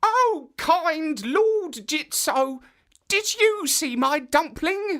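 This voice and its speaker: The voice is a put-on character voice, pitched high. It moves at a very slow pace. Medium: read story. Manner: giggly.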